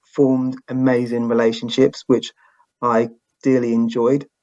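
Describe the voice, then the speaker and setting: With a British accent, this man talks at a medium pitch. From England. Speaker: podcast host, guest. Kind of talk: interview. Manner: halting.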